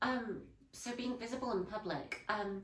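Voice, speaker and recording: A woman with a Yorkshire accent, ordinary pitch variation and audible room echo. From northern England, Leeds. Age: 20s. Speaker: historical interpreter and artist. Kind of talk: interview. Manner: hesitant, many fillers.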